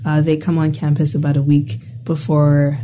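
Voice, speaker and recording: A woman with a very deep, low voice speaks at a moderate pace over noticeable background noise. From Bahamas. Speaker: university student. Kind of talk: casual conversation. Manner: animated, filler-heavy.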